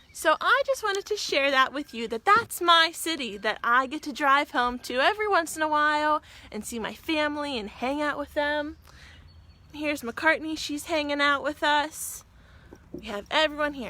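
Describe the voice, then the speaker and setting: This raised, projected voice has an American accent and a bright, sharp, animated tone. Its intonation is lively, its pace moderate, and its loudness swings widely. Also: woman, high pitch for a woman. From western Pennsylvania, Pittsburgh. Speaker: teacher. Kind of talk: virtual class for young children. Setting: outdoors on back porch.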